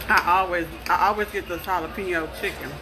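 A woman talks while noticeable background noise is heard. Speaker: food vlogger. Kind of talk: casual vlog chat. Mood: relaxed, enjoying food. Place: cafe. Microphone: phone near.

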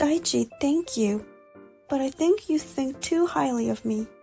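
Over faint background music, a woman does a put-on character voice that is high-pitched, dark and mellow in tone, with vocal fry and lively intonation. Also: fairly slow pace.

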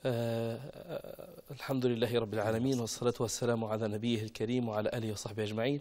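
A man talks at a fairly quick pace with hardly any pauses, his dark, mellow voice keeping fairly even intonation. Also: quiet background. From Libya. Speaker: engineer and radio presenter; talk show guest. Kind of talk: TV talk show interview. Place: studio. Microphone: lapel.

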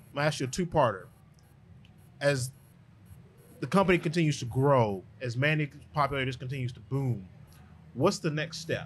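The voice is somewhat breathy, moving at a moderate pace with ordinary pitch variation and long, frequent pauses over light background noise. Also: man, fairly high pitch for a man. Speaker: podcast host. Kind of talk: casual interview. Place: studio. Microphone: studio mic.

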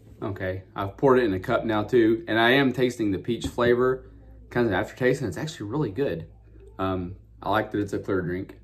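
Over light background noise, a man talks fairly quickly in a normal speaking voice with ordinary pitch variation. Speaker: drink reviewer. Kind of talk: casual vlog chat. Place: home room. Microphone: phone near.

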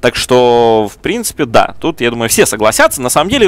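His voice has a medium pitch. A man is speaking with lively intonation. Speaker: esports commentator. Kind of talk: live commentary.

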